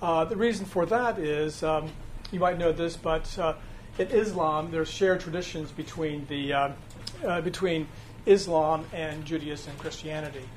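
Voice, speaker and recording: Audible room echo surrounds a man speaking at a fairly high pitch. He talks at a moderate pace with ordinary pitch variation. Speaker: church adult education teacher. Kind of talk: lecture. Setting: classroom without a mic. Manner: halting, many fillers; speaking loud. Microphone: no microphone, speaking unamplified.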